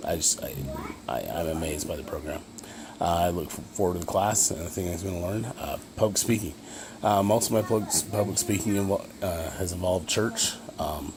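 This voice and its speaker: A man with a Utah accent, a very deep, low pitch, ordinary pitch variation and a fairly quick pace. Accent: Utah American English. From Utah, Ogden area. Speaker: college student. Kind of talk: self-introduction video. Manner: fast; halting with many fillers.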